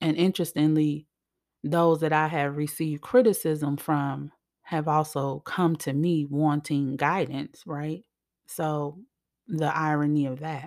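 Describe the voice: On a very clean recording with a silent background, a woman speaks slowly at a low pitch, with a slightly mellow tone and fairly even intonation.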